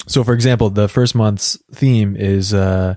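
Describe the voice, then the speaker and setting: In a very clean recording with a silent background, a man talks at a fairly slow pace and fairly low pitch. His tone is dark and mellow, his intonation fairly even, and the sound dry and close with no echo. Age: 30s. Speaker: online community manager. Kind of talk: conversational interview. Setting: studio. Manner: halting, frequent repetitions.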